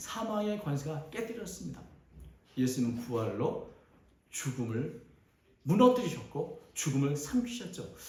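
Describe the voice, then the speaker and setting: The voice moves in very wide pitch swings at a fairly slow pace, with long, frequent pauses and audible room echo. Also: man, fairly high pitch for a man. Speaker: pastor. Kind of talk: sermon.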